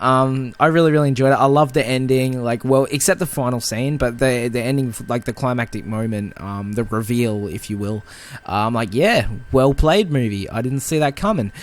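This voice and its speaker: A man speaks fairly quickly with a normal speaking voice. His pitch is medium and varies in an ordinary way. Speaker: film podcast co-host. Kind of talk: casual chat.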